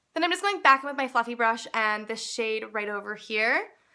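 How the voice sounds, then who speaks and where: On a very clean recording with a silent background, a woman with a Canadian accent has a bright, sharp tone and a fairly high pitch. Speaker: beauty blogger. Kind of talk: makeup tutorial narration.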